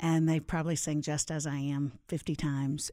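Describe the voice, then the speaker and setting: In an American accent, a woman speaks at a fairly slow pace with a very deep, low pitch, a dark, mellow tone, and fairly even intonation. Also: very clean recording, silent background. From Florida (Orlando). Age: 50s. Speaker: Bible teacher and author. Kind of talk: casual interview. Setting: studio.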